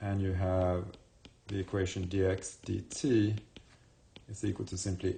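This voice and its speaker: A man talks in a very deep, low pitch, with audible room echo around him. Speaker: university math professor. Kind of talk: lecture.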